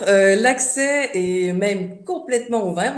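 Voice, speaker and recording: A woman speaks with a Quebec accent. There is audible room echo and noticeable background noise. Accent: Québécois. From Quebec, Montreal. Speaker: tourism board representative. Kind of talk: online presentation. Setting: video call webinar. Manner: hesitant, many fillers.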